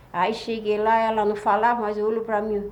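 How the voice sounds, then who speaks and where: There is audible room echo as a woman with a fairly high pitch talks at a fairly quick pace. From Florianópolis, Santa Catarina, southern Brazil. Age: 70s. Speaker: traditional folk healer. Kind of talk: life story interview.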